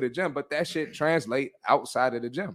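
In a very clean recording against a silent background, a man talks at a moderate pace in an unremarkable speaking voice. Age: 30s. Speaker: fitness podcast host. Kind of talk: casual chat; pep talk. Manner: blunt, forceful, motivating.

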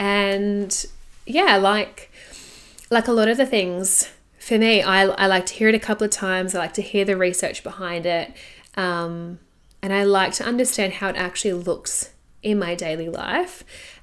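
In a very clean recording with a silent background, a woman with an Australian accent and a medium pitch talks at a moderate pace with fairly even intonation. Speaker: podcast host, sex and intimacy coach. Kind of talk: solo podcast monologue.

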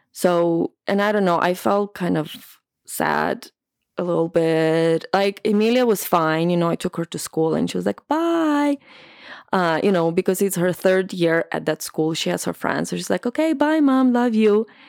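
A woman with a non-native accent speaks at a moderate pace and medium pitch, her intonation lively, on a very clean, dry, close recording with a silent background and no echo. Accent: foreign-accented English. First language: not English. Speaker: podcast host. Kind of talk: casual conversational interview.

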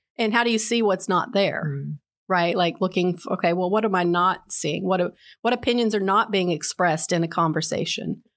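A woman with an unremarkable speaking voice talks in an American accent at a moderate pace, with ordinary pitch variation and very even loudness. The recording is very clean, with a silent background. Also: medium pitch for a woman. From West Virginia. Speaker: art education professor. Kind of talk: casual interview. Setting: studio.

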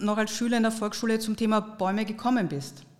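A woman with an unremarkable speaking voice talks at a fairly quick pace in a fairly high pitch. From Austria. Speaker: podcast host. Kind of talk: scripted narration.

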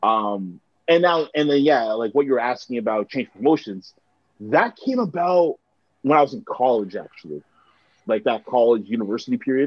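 With a Toronto accent, a man talks at a moderate pace in a medium pitch and lively intonation. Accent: Canadian (Toronto). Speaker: musician and broadcaster. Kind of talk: casual chat.

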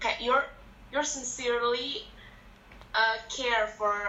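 Very slowly, a woman speaks in a fairly high voice with fairly even intonation and long, frequent pauses. Noticeable background noise and audible room echo surround her. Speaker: medical student. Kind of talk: casual chat.

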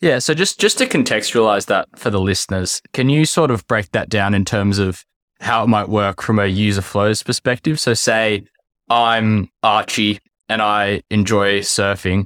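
In a dry, close sound with no echo and a very clean recording with a silent background, a man with an unremarkable speaking voice talks at a moderate pace, fairly low in pitch with ordinary variation and very even loudness. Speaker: podcast host. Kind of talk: casual interview.

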